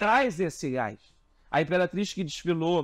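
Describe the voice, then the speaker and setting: A high-pitched man against a quiet background. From Rio de Janeiro. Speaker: carnival designer; interviewee. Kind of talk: interview. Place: home room. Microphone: lapel.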